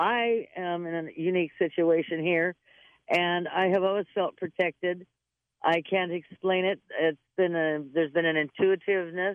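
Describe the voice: A woman with a fairly low voice speaks at a moderate pace with fairly even intonation. The sound is dry and close, with no echo.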